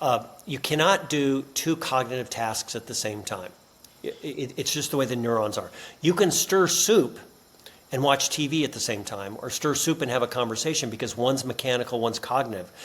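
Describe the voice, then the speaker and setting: A man speaks at a medium pitch with ordinary pitch variation. He has an ordinary speaking voice. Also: moderate pace. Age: 60s. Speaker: business author and professor. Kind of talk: podcast interview.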